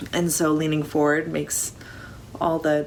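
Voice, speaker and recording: Against clearly audible background noise, a woman's speech proceeds at a moderate speed. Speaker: crafter, knitting vlogger. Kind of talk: casual talk to camera.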